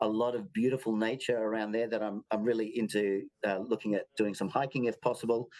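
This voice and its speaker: Delivered at a very fast pace in an Australian accent, this voice stays monotone with flat intonation. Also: man, medium pitch for a man. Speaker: circus show artistic director. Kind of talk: interview. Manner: halting.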